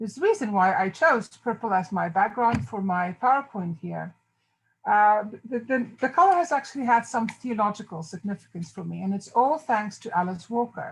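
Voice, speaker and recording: A woman with a strong South African accent speaks at a moderate pace in a fairly high, somewhat breathy voice, her intonation lively against a quiet background. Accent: South African, fairly heavy. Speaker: theology professor. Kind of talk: lecture. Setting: video call.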